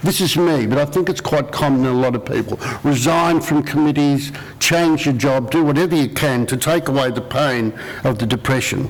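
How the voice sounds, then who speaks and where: Over noticeable background noise, a man with a fairly high pitch talks with an Australian accent. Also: ordinary pitch variation, moderate pace, very even loudness. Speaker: panel speaker with lived experience of bipolar disorder. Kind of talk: public talk.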